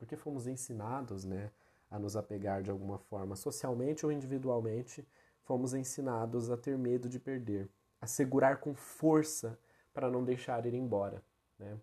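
A man's dark, mellow, medium-pitched voice comes through a very clean recording with a silent background. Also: ordinary pitch variation, moderate pace. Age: 20s. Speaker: podcast host. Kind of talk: solo monologue, reflective talk. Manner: casual, frequent fillers.

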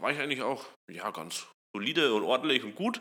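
A man's bright, sharp voice at a moderate pace. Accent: slight Franconian. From Upper Franconia, Germany (Kulmbach). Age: 20s. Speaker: startup co-founder and CTO. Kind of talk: casual interview.

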